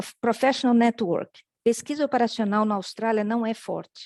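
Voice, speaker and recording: A woman with an unremarkable speaking voice talks at a fairly slow pace in a fairly high pitch, and the sound is dry and close with no echo. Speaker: professor. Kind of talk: conference talk.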